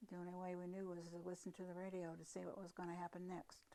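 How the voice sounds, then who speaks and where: Her voice is fairly low in pitch for a woman, with a dark, mellow tone. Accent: American. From US Midwest, Fort Wayne, Indiana. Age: 90s. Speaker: elderly relative recalling WWII. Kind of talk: oral history interview.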